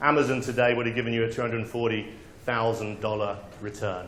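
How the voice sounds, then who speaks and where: The speaker is a man. Both audible room echo and noticeable background noise are present. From England. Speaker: conference speaker. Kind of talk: conference talk. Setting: stage with audience. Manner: hesitant fillers, animated.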